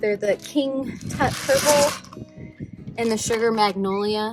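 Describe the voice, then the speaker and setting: A woman with a fairly high pitch and ordinary pitch variation, speaking at a fairly slow pace over music in the background. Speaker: gardening vlogger. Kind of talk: casual tutorial vlog. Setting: outdoors in garden.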